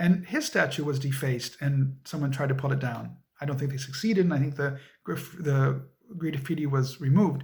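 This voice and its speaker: At a fairly quick pace, a man with a fairly high pitch speaks somewhat breathily, using ordinary pitch variation. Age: 50s. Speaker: interviewee, history educator. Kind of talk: interview.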